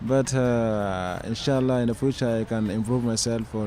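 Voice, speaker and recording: A man at a medium pitch and moderate pace, monotone and flat, with noticeable background noise. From Sudan, Darfur. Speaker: migrant interviewee. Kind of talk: interview. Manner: halting, many hesitations.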